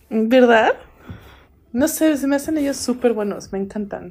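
A woman is speaking at a fairly slow pace. Her pitch variation is ordinary. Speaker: podcast co-host. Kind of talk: casual chat.

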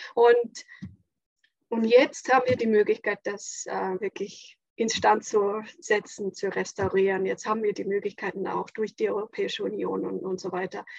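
A woman with an Estonian accent talks at a moderate pace, the sound dry and close with no echo. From Estonia, near Latvian border. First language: Estonian (speaking German). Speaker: school head and designer. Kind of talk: casual chat.

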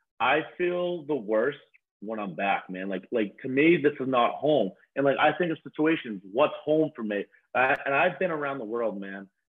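Using an ordinary speaking voice, a man talks at a moderate pace. His fairly high pitch carries lively intonation. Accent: American. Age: 20s. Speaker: reality TV cast member. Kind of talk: casual chat.

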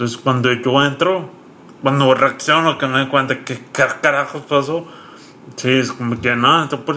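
A man's bright, sharp voice at a fairly high pitch and moderate pace, broken by long, frequent pauses. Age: 30s. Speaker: content creator and stroke survivor. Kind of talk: casual interview.

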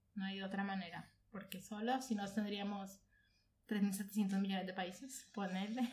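In a room with audible echo, a woman at medium pitch speaks at a fairly slow pace with monotone, flat intonation. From Colombia, Bogotá. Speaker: audiovisual producer. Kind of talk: casual chat. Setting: at home sharing mate.

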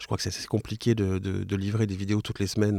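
A man talks fairly quickly in a fairly low voice, his intonation monotone and flat. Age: 40s. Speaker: podcaster. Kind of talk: casual interview chat. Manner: hesitant, many fillers and repetitions.

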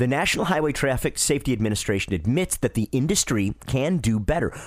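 With an American accent, a man at medium pitch talks at a fairly quick pace, his pitch swinging very widely. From Detroit, Michigan. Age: 40s. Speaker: radio car show host. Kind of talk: casual radio talk. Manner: animated.

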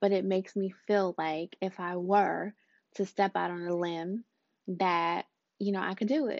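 A woman with a normal speaking voice, a medium pitch and fairly even intonation, at a moderate pace. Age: 30s. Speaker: podcast host and life coach. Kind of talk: casual monologue. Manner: warm, conversational with fillers.

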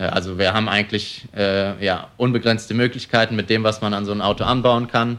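In a very clean recording with a silent background, a man speaks in a fairly low, monotone, flat voice. He moves at a fairly quick pace with hardly any pauses. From Germany, Cologne. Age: 20s. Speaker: young entrepreneur, car dealer. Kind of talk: interview. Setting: showroom.

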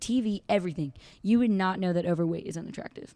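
Talking very fast, a woman with a dark, mellow tone uses lively intonation. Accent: American. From California, Santa Barbara. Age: 20s. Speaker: confidence coach and speaker. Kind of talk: casual interview chat.

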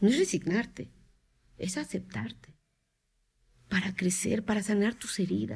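A woman talks at a fairly slow pace with long, frequent pauses and vocal fry. Her pitch is medium, with ordinary variation. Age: 50s. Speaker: psychotherapist. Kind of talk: interview, explaining.

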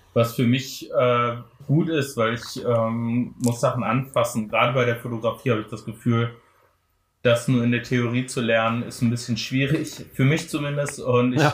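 A man with a somewhat breathy voice speaks in a flat monotone at a medium pitch and a moderate pace. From Germany, Frankfurt am Main. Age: 30s. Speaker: photographer. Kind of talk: casual chat.

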